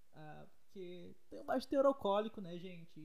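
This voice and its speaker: A man's voice carries audible room echo. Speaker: podcaster. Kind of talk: casual monologue. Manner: fast.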